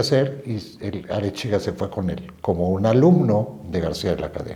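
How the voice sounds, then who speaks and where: A man's dark, mellow voice at a fairly slow pace, with lively intonation. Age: 70s. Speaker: descendant of historical generals, storyteller. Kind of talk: interview, casual storytelling.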